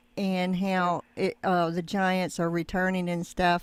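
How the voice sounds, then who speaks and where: The recording is very clean with a silent background. A woman speaks at a medium pitch and a fairly slow pace. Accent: Southern US. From US South. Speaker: YouTube channel host. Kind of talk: interview. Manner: halting.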